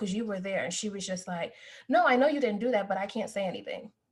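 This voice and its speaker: A woman speaks at a medium pitch in a somewhat breathy voice with ordinary pitch variation. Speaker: podcast co-host, academic. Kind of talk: casual chat, personal story. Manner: soft-spoken.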